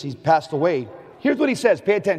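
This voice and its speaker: With an American accent, a man speaks in a high voice with very wide pitch swings. Noticeable background noise runs underneath. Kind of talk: talk to a conference audience. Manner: high energy.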